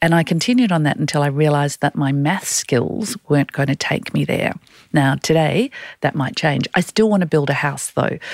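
A woman with an Australian accent talks at a moderate pace with a very deep, low pitch and lively intonation. Her loudness stays very even, and the sound is dry and close with no echo. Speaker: executive and career coach, podcast co-host. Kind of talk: casual chat. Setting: studio.

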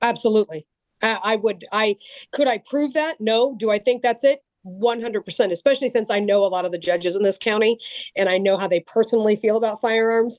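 A woman talks at a fairly quick pace in an ordinary speaking voice, fairly high, with ordinary pitch variation. The sound is dry and close, with no echo. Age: 40s. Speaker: gun rights advocate and abuse survivor. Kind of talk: podcast interview.

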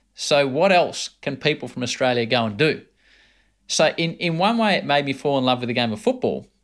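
A man's plain, everyday voice at a fairly quick pace, lively intonation, very clean recording with a silent background. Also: fairly high pitch for a man. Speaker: podcast host. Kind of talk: interview conversation.

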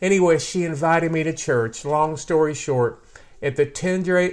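A man speaks in an animated way with an American accent, his pitch fairly high for a man. He keeps a moderate pace against a quiet background. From US Midwest, Ohio. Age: 60s. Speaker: testimony-giving guest. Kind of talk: testimony. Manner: animated, humorous.

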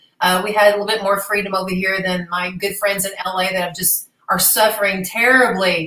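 A woman of medium pitch speaks with hardly any pauses. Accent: American. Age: 50s. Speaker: former professional boxer and TV gladiator. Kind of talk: casual interview chat. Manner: animated.

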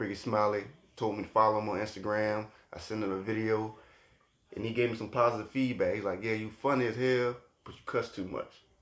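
His delivery is monotone and flat, with a fairly low pitch. The man rattles along at a very fast clip. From Virginia, Portsmouth area. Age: 30s. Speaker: comedian. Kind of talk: casual chat.

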